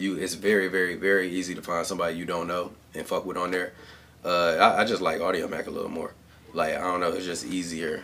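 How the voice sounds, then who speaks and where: In an American accent, a man with a very deep, low pitch talks at a very fast pace with monotone, flat intonation. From Cleveland, Ohio. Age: 20s. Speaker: rapper. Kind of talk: casual chat. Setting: home studio.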